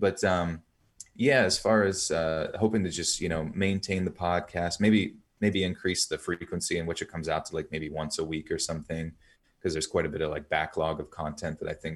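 A man talks at a fairly quick pace with fairly even intonation. His pitch is very deep and low. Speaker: storyteller podcaster. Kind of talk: interview, storytelling.

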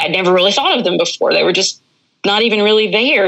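A woman's medium-pitched voice in an Appalachian accent, with ordinary pitch variation. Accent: Appalachian Southern US. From US South, northwestern North Carolina mountains. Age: 30s. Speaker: hunting guide and cancer patient. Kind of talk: casual interview.

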